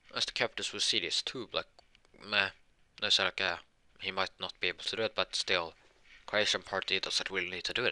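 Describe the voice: Someone reads aloud here. The delivery is plain.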